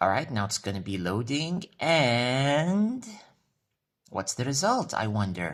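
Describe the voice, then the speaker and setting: In an Arabic accent, a man speaks at a very slow pace and medium pitch with very wide pitch swings, on a very clean recording with a silent background. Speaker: vlogger. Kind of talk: casual vlog.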